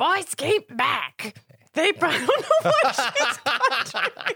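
Someone uses a put-on character voice with extremely high pitch at a fairly slow pace.

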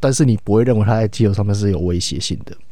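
Over a very clean, silent background, a man speaks at a very fast pace in a fairly low pitch with a dark, mellow tone. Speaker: sports podcast co-host. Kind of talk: casual sports analysis chat. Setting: at home in isolation.

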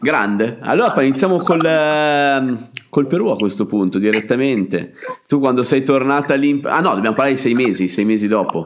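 A man speaks at medium pitch and a moderate pace. He has an ordinary speaking voice. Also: lively intonation. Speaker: travel podcast host. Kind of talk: casual interview.

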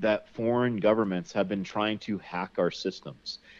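A man with an ordinary speaking voice talks at a moderate pace and a medium pitch. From US Northeast, Connecticut. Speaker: survival instructor and outdoorsman. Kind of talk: casual interview chat. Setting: remote online interview.

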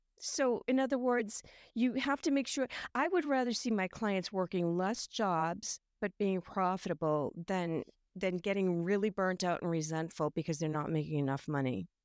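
With a normal speaking voice at medium pitch, a woman speaks at a moderate pace with lively intonation, in a very clean recording with a silent background and a dry, close sound with no echo. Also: very even loudness. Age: 60s. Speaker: home staging coach. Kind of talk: casual interview chat.

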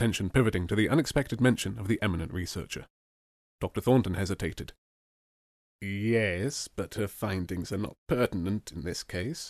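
Recorded dry and close with no echo against a silent background on a very clean recording, a man talks at a fairly quick pace with long, frequent pauses, his fairly low pitch showing ordinary variation. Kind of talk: scripted narration of a courtroom drama. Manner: dramatic, suspenseful storyteller.

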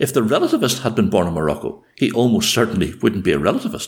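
A man with a Northern Irish accent talks at a fairly quick pace. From Northern Ireland. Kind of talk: casual conversation with storytelling.

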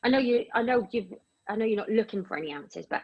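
Speaking very fast with an English accent, a woman has a fairly high, somewhat breathy voice. Her pitch moves in an ordinary way. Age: 50s. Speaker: radio show host. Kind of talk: casual chat.

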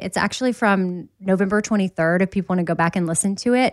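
This is an ordinary speaking voice, a woman's at medium pitch. The recording is very clean with a silent background, dry and close with no echo. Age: 40s. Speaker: podcast co-host. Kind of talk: casual chat.

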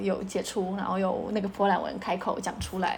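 A woman with a Polish accent and medium pitch talks at a moderate pace over noticeable background noise. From Poland. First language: Polish (speaking Chinese). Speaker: mother of bilingual children. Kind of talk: interview.

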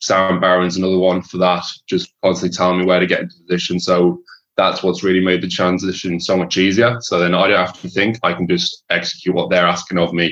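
Talking at a very fast pace, a man with an Irish accent has a very deep, low pitch and monotone, flat intonation. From Shropshire, England. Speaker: rugby league player. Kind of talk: interview.

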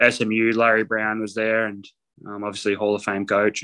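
With an Australian accent, a man talks at a fairly low pitch in a bright, sharp tone. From North Queensland, Australia. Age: 20s. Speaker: professional basketball player. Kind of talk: casual interview.

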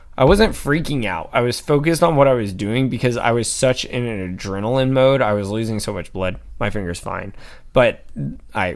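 A plain, everyday voice with an American accent, at a fairly quick pace. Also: man. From Atlanta, US. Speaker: podcast co-host. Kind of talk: casual chat.

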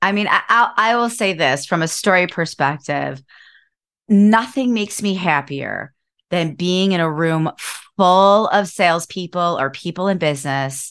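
A woman with an American accent has a fairly low pitch and an unremarkable speaking voice. She talks at a fairly slow pace with ordinary pitch variation against a quiet background. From Cleveland, Ohio. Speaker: author and business coach. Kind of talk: casual interview chat. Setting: video call.

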